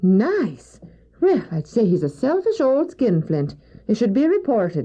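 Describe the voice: A woman puts on a character voice with a dark, mellow tone and a slightly husky edge, pitched fairly high and swinging very widely in pitch at a fairly slow pace.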